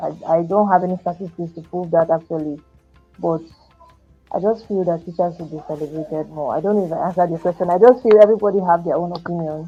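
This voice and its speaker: A soft-spoken woman at a very fast pace, big swings in loudness, music in the background. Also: fairly even intonation. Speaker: educator. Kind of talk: podcast interview answer.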